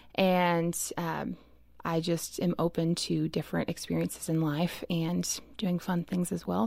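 A woman with a fairly low pitch speaks in an ordinary speaking voice. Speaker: roundtable guest. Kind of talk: casual chat.

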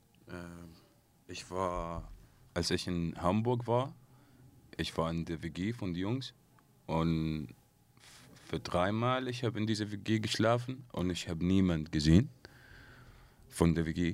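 Very deep and low in pitch, a man speaks with an Arabic accent and lively intonation. His pace is very slow with long, frequent pauses, on a very clean recording with a silent background. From Syria. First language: Arabic (speaking German). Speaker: singer. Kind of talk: interview. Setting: studio.

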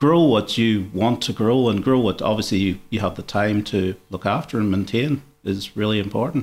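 A man with an Irish accent talks at a fairly quick pace. His fairly low pitch shows ordinary variation, on a very clean recording with a silent background. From Ireland. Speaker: botanic garden curator manager. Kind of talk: interview.

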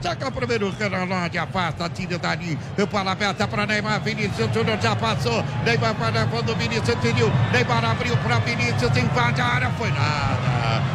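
With crowd noise in the background, a man talks fairly quickly with lively intonation and hardly any pauses. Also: medium pitch for a man, very even loudness. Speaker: football radio play-by-play announcer. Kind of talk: live commentary.

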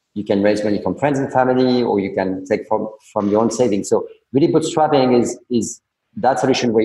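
Here a man speaks at a fairly quick pace. His tone is dark and mellow. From France. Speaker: startup founder and CEO. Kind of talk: interview. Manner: halting, many repetitions.

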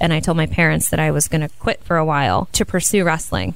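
A woman with a Midwestern American accent talks at a fairly low pitch. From Ohio, US. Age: 30s. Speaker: professional wrestler. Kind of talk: interview. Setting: studio.

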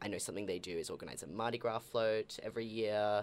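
In an Australian accent, a man talks with a fairly low pitch. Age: 20s. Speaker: guest from queer magazine. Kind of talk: casual chat.

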